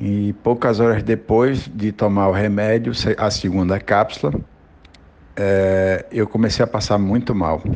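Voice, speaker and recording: A man speaks fairly slowly in an ordinary speaking voice, fairly low in pitch. His intonation is fairly even and his loudness very even. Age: 40s. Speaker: businessman, multiple sclerosis patient. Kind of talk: personal testimony.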